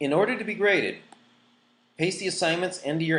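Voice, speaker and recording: A man's voice with vocal fry. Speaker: online school teacher. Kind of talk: course orientation tutorial. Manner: fast.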